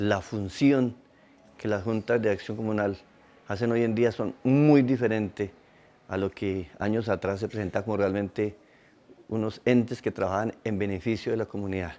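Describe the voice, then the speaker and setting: This man's voice has a dark, mellow tone and a fairly low pitch. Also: fairly even intonation, moderate pace. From Colombia, southern Tolima. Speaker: community leader. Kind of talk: testimony.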